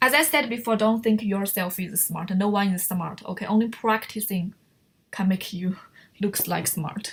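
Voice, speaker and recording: The woman's voice is somewhat breathy. Her pitch rises and falls in an ordinary way. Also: moderate pace. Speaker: online writing teacher. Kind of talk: lecture.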